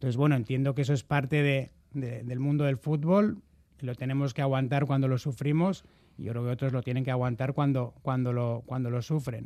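At a fairly quick pace, a man talks with a dark, mellow tone at a medium pitch. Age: 40s. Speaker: football club presidential candidate. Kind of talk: radio interview. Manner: halting.

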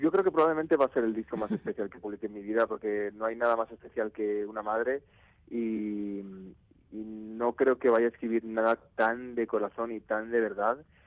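Speaking at a moderate pace and medium pitch, a man shows big swings in loudness. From Spain, Navarre (Pamplona). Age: 20s. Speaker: musician and music producer. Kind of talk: radio interview. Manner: halting, many repetitions.

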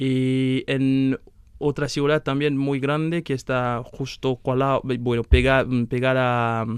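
The sound is dry and close, with no echo. Intonation holds fairly even. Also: man. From Benin. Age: 20s. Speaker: master's student. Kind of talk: interview.

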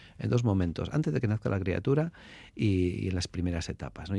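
A man talks at a very fast pace in a fairly low pitch with a dark, mellow tone. The recording is very clean, and the background is silent. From Basque Country, Álava. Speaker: anthropologist and social worker. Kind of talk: radio interview. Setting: radio studio. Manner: halting, many repetitions.

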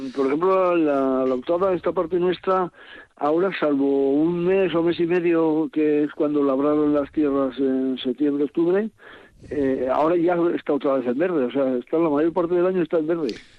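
Fairly high in pitch, a man talks at a moderate pace with fairly even intonation and very even loudness. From Álava, Basque Country. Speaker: retiree walking-route organizer. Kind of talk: radio interview. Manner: halting.

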